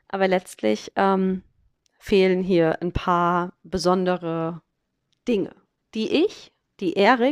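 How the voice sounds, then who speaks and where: A woman's medium-pitched voice, dry and close with no echo, over a quiet background. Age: 30s. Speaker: podcast host. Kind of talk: solo podcast monologue. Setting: holiday flat on a farm, sitting on a sofa. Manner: casual, chatty, many filler sounds.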